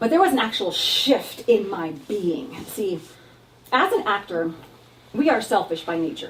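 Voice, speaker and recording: Loud and fairly high-pitched, a woman with an American accent speaks fairly slowly with very wide pitch swings over noticeable background noise. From Texas and San Diego. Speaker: actor and comedic performer. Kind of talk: stand-up style solo show.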